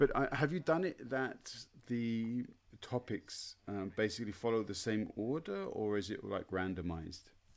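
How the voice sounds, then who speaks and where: Speaking at a moderate pace with a British accent, a man uses lively intonation in his medium-pitched voice. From Britain. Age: 40s. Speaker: podcast host and teacher. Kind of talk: interview. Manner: halting.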